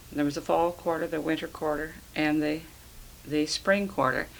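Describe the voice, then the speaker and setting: A woman with a US Midwestern accent and a very deep, low pitch. She talks at a moderate pace. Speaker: retired schoolteacher. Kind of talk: oral history interview. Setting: at home.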